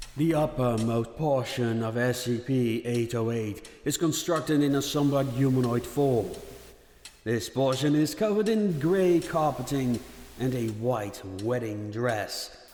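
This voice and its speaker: Against noticeable background noise, a man with a medium pitch speaks at a fairly slow pace with ordinary pitch variation. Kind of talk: fiction narration, horror story reading.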